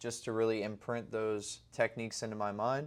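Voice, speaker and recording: A man with a medium pitch is heard on a very clean recording with a silent background. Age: 20s. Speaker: day trader video diarist. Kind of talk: casual video diary to camera.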